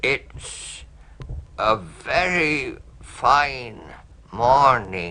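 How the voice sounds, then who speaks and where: Here a man performs a put-on character voice at medium pitch. His pitch swings very widely. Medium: read story.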